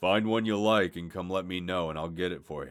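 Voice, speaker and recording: Over background music, a man puts on a raspy character voice with a very deep, low pitch, talking at a fairly quick pace. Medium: read story. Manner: terse, unamused.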